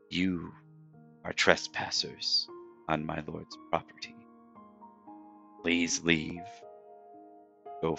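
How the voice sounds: Doing a put-on character voice, a man speaks very slowly in a strained, very deep, low register, with long, frequent pauses and big swings in loudness while music plays clearly in the background.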